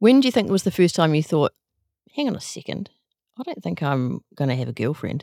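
Speaking at a fairly quick pace with a New Zealand accent, a woman has a very deep, low pitch, very wide pitch swings and a dark, mellow tone, heard in a dry, close sound with no echo. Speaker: podcast host. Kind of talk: casual interview chat.

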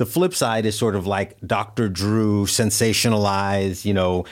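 This man has a normal speaking voice, fairly low in pitch, with fairly even intonation. The recording is very clean, with a silent background. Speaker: physician and podcast co-host. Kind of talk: casual interview chat.

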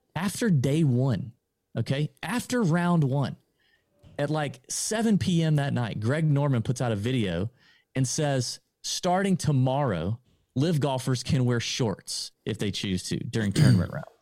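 With an American accent and a dark, mellow tone, the speaker talks at a fairly slow pace with lively intonation in a very clean recording with a silent background. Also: man, medium pitch for a man. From US South, Augusta, Georgia. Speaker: golf podcaster. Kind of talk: casual interview.

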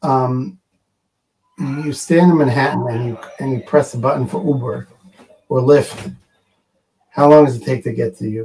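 This man has a fairly high pitch, a dark, mellow tone and a somewhat breathy quality. He moves at a moderate pace with ordinary pitch variation, big swings in loudness and long, frequent pauses. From Israel, Jerusalem. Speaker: emergency medical organization founder. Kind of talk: interview.

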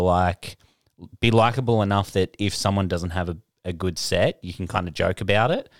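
A man with an Australian accent speaks at a fairly low pitch with fairly even intonation. The very clean recording has a silent background and a dry, close sound with no echo. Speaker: podcast co-host and comedian. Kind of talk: casual banter.

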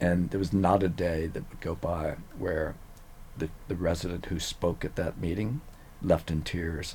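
Speaking at a fairly slow pace, a man with a very deep, low pitch sounds somewhat breathy, his intonation fairly even. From Louisiana, Cajun country (Eunice). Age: 70s. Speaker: neuroscientist. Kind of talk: casual interview.

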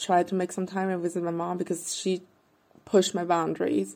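A woman speaks with a fairly low pitch and a dark, mellow tone. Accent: German. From Austria, Vienna. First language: German. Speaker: podcast listener. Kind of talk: recorded voice memo question. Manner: halting.

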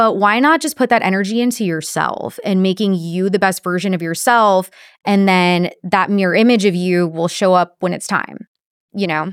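This is a plain, everyday voice with ordinary pitch variation, delivered at a moderate pace. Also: woman, medium pitch for a woman. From Texas, Corpus Christi. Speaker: sales professional. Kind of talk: casual chat. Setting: studio.

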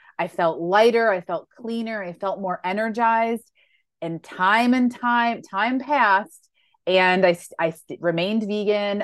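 At a fairly slow pace, a woman with a normal speaking voice talks at a medium pitch with ordinary pitch variation and big swings in loudness. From Western New York. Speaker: plant-based lifestyle coach and cookbook author. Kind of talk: interview.

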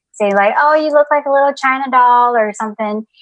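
Recorded dry and close with no echo, a woman speaks with an American accent. Her pitch variation is ordinary. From US South, Atlanta Georgia. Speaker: worship leader, writer and divinity student. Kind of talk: casual interview chat.

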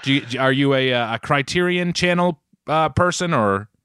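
This man has an American accent. His pitch sits fairly high. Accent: Boston accent, mostly when yelling. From Boston area, US. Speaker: podcast co-host. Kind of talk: casual chat. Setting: at home with his mother nearby.

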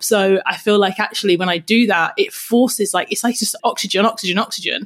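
A woman speaks fairly quickly with hardly any pauses, in an energetic tone. Her voice is fairly high and somewhat breathy. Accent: British. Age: 30s. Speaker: podcast host and personal trainer. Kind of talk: casual chat.

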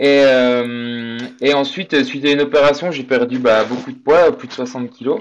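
An unremarkable speaking voice from a man, fairly high in pitch with ordinary variation, at a fairly slow pace, and with big swings in loudness. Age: 30s. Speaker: amateur endurance athlete. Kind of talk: interview.

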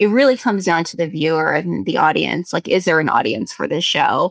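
Vocal fry from a woman with fairly low pitch and lively intonation, in a dry, close sound with no echo. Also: very clean recording, silent background. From South Korea. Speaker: screenwriter and actress. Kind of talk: casual chat.

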